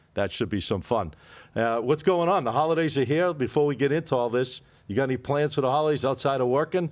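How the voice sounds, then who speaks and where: A man with a Boston accent, medium pitch and lively intonation, over a quiet background. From Boston area, New England. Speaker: sports betting podcast host. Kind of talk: casual chat.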